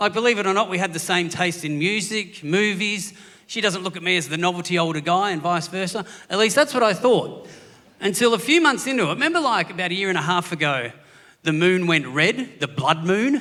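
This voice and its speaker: In a raised, projected voice, a man with an Australian accent talks high and fairly quickly with lively intonation. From Australia, Gippsland, Victoria. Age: 40s. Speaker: comedian. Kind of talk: stand-up. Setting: stage with audience.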